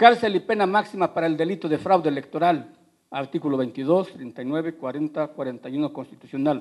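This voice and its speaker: Speaking with a Mexican accent, a man talks at a fairly quick pace with lively intonation and a fairly high pitch. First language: Otomi (speaking Spanish). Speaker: politician. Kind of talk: debate speech. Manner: formal.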